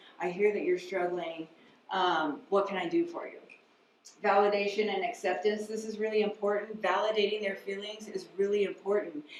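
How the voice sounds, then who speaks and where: Amid noticeable background noise and audible room echo, a woman speaks at a medium pitch and a moderate pace with ordinary pitch variation. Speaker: mental health counselor. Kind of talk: lecture.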